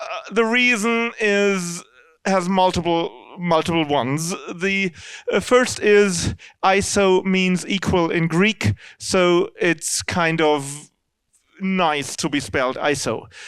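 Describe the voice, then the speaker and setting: Recorded very cleanly against a silent background, a man with a German accent speaks very slowly in a high-pitched voice. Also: ordinary pitch variation. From Germany. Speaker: C++ standards committee member. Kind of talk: lecture. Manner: halting.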